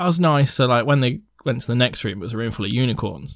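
A man with an English accent, medium in pitch, fairly quick, with ordinary pitch variation, on a very clean recording against a silent background. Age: 20s. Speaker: podcast host and gigging musician. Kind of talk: casual chat.

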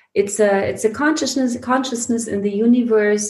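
Somewhat breathy female voice with ordinary pitch variation. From Germany, Heidelberg area (early childhood in Iran). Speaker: spiritual teacher and retreat leader. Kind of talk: casual interview conversation. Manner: hesitant, many fillers.

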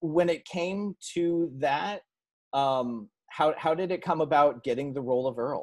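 A man with a Californian accent talks at a fairly slow pace. His pitch is fairly high with ordinary variation. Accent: American (California). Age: 30s. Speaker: podcast host. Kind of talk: interview.

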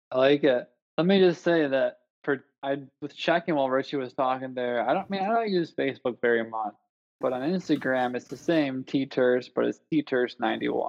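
In a Buffalo accent, a man speaks at a medium pitch. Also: ordinary pitch variation, moderate pace. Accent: Western New York (Buffalo) American. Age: 30s. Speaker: physical therapist. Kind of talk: casual chat. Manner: hesitant, many fillers.

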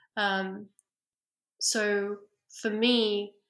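In a bright, sharp tone, a woman talks at a medium pitch with monotone, flat intonation. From Iraqi Kurdish family, left Iraq as infant. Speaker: head of automated fact-checking at a charity. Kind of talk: interview. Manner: frequent um fillers.

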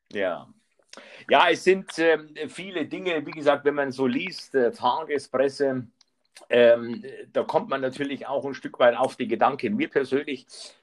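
The man's voice sits fairly high, with ordinary pitch variation. He talks at a fairly slow pace. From Bavaria. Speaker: podcast host. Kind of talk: casual interview. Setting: live remote call. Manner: halting, many fillers.

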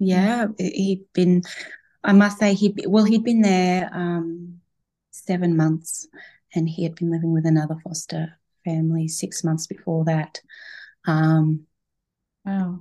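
In an Australian accent, a woman with a dark, mellow tone and fairly low pitch talks at a very slow pace with fairly even intonation and long, frequent pauses. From Queensland, Australia (Toowoomba area). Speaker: adoptive mother, stay-at-home mum. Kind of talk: interview, personal story.

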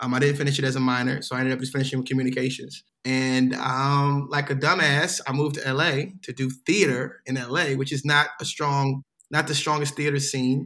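With an American accent, a man speaks at a fairly high pitch and a fairly quick pace, his bright, sharp tone carried in a monotone, flat intonation. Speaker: actor and stand-up comedian. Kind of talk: casual chat. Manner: fast.

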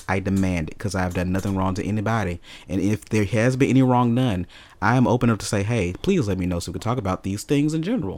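In an American accent, a man speaks at a very fast pace. His pitch is fairly low. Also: ordinary pitch variation. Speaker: podcast co-host. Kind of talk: casual chat. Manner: animated.

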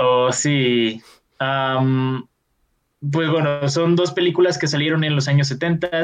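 A man talks at a very slow pace with fairly even intonation, leaving long, frequent pauses. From Mexico. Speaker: film podcast host. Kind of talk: casual chat. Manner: filler-heavy, hesitant.

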